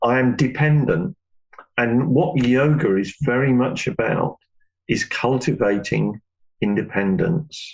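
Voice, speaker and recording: This is an ordinary speaking voice from a man, with lively intonation. His loudness stays very even. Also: medium pitch for a man, fairly slow pace. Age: 60s. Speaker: yoga teacher. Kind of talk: interview.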